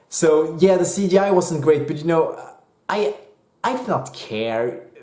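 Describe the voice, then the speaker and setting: A man with a Swedish accent speaks at a fairly slow pace in a high voice, his intonation lively, with audible room echo. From Sweden. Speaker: movie reviewer. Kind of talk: casual video review. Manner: hesitant, many fillers; animated.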